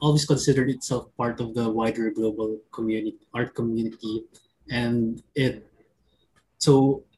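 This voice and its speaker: The voice is somewhat breathy and monotone. It keeps a moderate pace. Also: man. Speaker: arts organization editor. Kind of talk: online panel discussion. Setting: video call.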